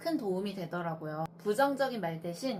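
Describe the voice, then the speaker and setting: Over noticeable background noise, a woman talks at a moderate pace with lively intonation. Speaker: traditional clothing dyer and maker. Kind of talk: talk giving advice.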